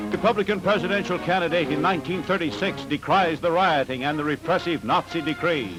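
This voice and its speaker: A man's high-pitched voice, fairly quick with hardly any pauses, over music in the background. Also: ordinary pitch variation, very even loudness. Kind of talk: newsreel announcer narration.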